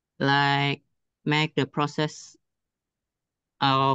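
Against a quiet background, a man speaks at a fairly high pitch with a bright, sharp tone. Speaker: student; audience member. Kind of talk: audience question. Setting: video call. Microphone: video call.

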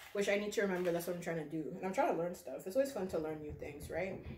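There is audible room echo around a woman's voice. Light background noise is also present. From Canada. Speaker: plant YouTuber. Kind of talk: casual vlog chat while potting plants. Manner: chatty, casual. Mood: relaxed, chatty. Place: home room. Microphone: phone near.

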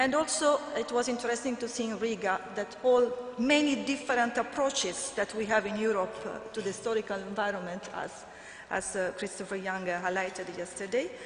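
Someone with an Italian accent speaks at a moderate pace, with audible room echo and light background noise. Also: woman, ordinary pitch variation. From Italy. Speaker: conference moderator and EU policy officer. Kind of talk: conference moderation. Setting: conference stage with audience. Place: hall. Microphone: podium.

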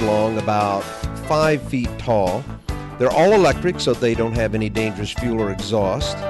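A man at a medium pitch with lively intonation and a moderate pace, over music in the background. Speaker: puppeteer and entertainer. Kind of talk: promotional presentation.

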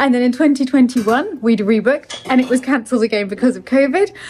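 A woman speaks in a high voice. Light background noise can be heard. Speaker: chateau owner vlogger. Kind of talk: casual vlog chat. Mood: relaxed, then disappointed. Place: home room. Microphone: phone near.

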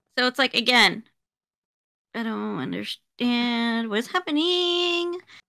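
A woman's high-pitched, bright, sharp mumbling at a very slow pace, with long, frequent pauses over a quiet background. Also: lively intonation. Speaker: podcast co-host. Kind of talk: casual chat. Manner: mumbles; halting. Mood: animated, critical, joking. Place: home room.

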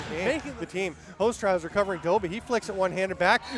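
A man talks with noticeable background noise in the recording. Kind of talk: live sports commentary. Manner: fast, excitable play-by-play delivery.

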